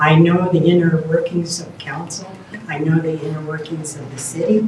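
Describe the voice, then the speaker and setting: A woman with a fairly low pitch speaks over noticeable background noise, with audible room echo. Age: 70s. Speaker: mayoral candidate. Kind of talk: candidate forum answers. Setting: live-streamed candidate forum.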